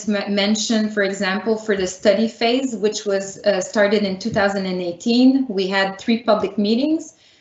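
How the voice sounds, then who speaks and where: A woman speaks with a Quebec accent at a moderate pace and fairly high pitch. Her intonation is fairly even over noticeable background noise. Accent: Canadian French. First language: French. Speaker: municipal planning director. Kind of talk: public meeting presentation. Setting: virtual meeting.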